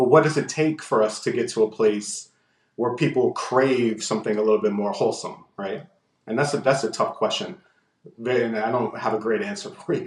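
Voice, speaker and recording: A man talks in a plain, everyday voice at medium pitch. His pace is moderate and his intonation lively. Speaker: lawyer.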